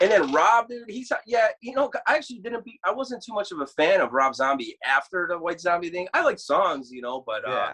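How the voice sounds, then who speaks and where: The speaker's raised, projected voice runs at a fairly quick pace with hardly any pauses, an animated tone, very wide pitch swings and big shifts in loudness. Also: man, high pitch for a man. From Chicago, US (born in Krakow, Poland). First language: Polish. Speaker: death metal guitarist. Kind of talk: casual chat.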